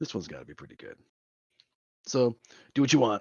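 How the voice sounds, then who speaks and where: A man's raspy, put-on character voice. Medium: actual play. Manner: casual, offhand.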